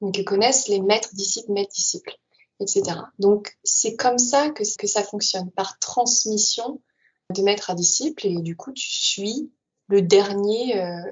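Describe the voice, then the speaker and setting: A woman with an unremarkable speaking voice talks at a fairly slow pace, her medium pitch showing ordinary variation. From Paris region, France. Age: 20s. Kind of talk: interview testimony.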